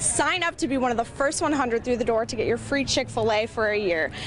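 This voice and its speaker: A woman's high-pitched voice at a very fast pace, with lively intonation and noticeable background noise. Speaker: TV news anchor and reporter. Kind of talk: TV news read.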